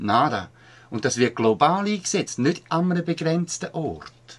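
Speaking at a very slow pace in a Swiss accent, a man moves through very wide pitch swings. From Switzerland. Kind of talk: activist commentary voice-over.

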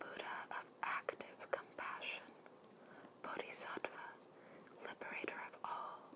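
Whispering, a woman speaks at a very slow pace. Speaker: ASMR creator. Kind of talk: ASMR art card reading with whispers. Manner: whispered, soft.

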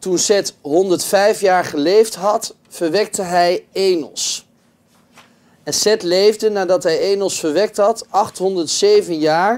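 With ordinary pitch variation, the speech unfolds at a very slow pace. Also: man. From Netherlands. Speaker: pastor. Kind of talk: lecture; reading aloud. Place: meeting room. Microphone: camera far.

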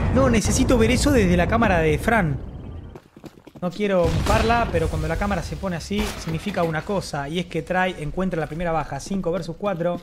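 Noticeable background noise sits behind a woman with a fairly low pitch and a calm tone. She speaks at a fairly quick pace with lively intonation. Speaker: esports commentator and streamer. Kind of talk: esports play-by-play commentary over CS:GO match highlights. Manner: casual, swearing, slangy and fanlike, mixing in stretches of calm analysis. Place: home room.

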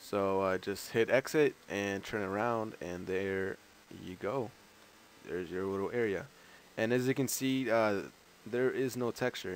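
A man with an American accent speaks fairly slowly and at a fairly low pitch, with ordinary pitch variation and long, frequent pauses. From outside the US. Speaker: gaming YouTuber. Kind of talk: tutorial. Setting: screen recording voiceover. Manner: casual, filler-heavy.

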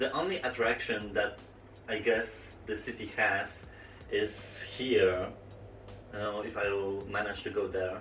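At a fairly slow pace, a man with a fairly low pitch speaks in fairly even intonation with long, frequent pauses, amid audible room echo and light background noise. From Poland, Olsztyn area. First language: Polish. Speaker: gaming YouTuber. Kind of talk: storytime vlog while playing VR. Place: home room.

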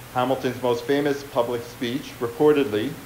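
A man's voice at a moderate pace with fairly even intonation, audible room echo and light background noise. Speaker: historian. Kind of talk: lecture. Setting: stage with audience. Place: hall.

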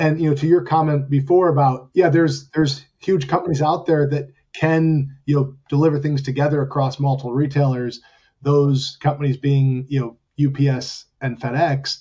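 A man speaks with a somewhat breathy voice at a fairly high pitch, his intonation monotone and flat. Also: moderate pace. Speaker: business executive. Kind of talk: panel discussion.

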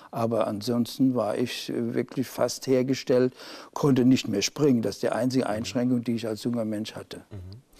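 A man talks at a moderate pace with fairly even intonation. His medium-pitched voice has a dark, mellow tone. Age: 60s. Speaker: polio survivor and self-help group founder. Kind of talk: studio interview. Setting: TV studio. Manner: halting, with fillers. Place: studio. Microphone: lapel.

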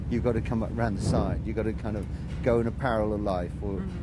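Music plays behind a man's voice. The sound is dry, with no echo. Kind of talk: interview answer. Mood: reflective, thoughtful. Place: open country.

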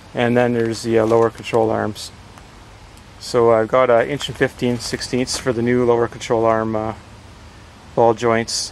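Flat, monotone speech comes at a moderate pace, dry with no echo, over light background noise. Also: man. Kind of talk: tutorial. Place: garden. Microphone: phone near.

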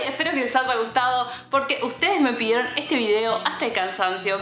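A woman talks at a very fast pace with ordinary pitch variation. Audible room echo and light background noise surround her. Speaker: beauty vlogger. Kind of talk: casual vlog chat. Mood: warm, cheerful. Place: home room.

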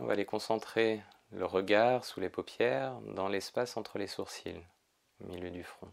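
Against a quiet background, a soft-spoken man with a fairly low pitch uses a calm, soothing tone, with ordinary pitch variation and big swings in loudness. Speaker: yoga teacher. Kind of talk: guided meditation. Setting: pre-recorded video session. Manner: slow, soft, calm and soothing, with long pauses. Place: home room.

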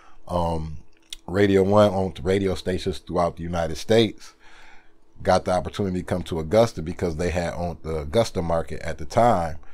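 A man's very deep, low voice with an American accent, at a fairly quick pace with fairly even intonation. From Sandusky, Ohio; Ohio. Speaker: radio DJ. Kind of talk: casual interview. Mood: relaxed, reflective. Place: studio.

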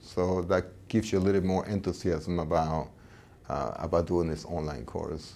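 A man speaks at a moderate pace in a very deep, low voice with a dark, mellow tone. There is vocal fry, and his pitch varies in an ordinary way. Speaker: professor. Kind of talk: interview testimonial. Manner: halting. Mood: earnest, enthusiastic about teaching. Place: office. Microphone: lapel.

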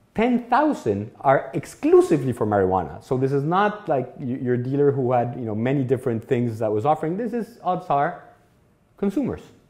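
A man with a Mexican accent speaks at a moderate pace with very wide pitch swings over a quiet background. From Mexico. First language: Spanish. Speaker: law professor. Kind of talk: lecture. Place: classroom.

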